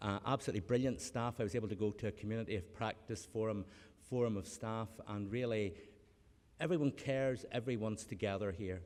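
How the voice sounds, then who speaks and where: With a Northern Irish accent, a man talks at a very fast pace, his pitch fairly low with ordinary variation. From Northern Ireland. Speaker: academic, honorary graduate speaker. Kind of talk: graduation speech. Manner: halting, many repetitions.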